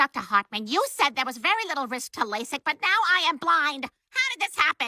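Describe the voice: A woman's cartoonish character voice, high-pitched with very wide pitch swings, in a dry, close sound with no echo. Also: fairly quick pace.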